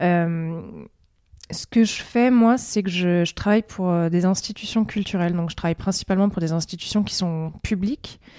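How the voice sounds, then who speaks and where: A woman at medium pitch and moderate pace, with a dark, mellow tone and ordinary pitch variation. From southeastern France (Provence). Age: 30s. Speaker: podcast guest, freelance worker for cultural institutions. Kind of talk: casual interview. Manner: hesitant, many fillers.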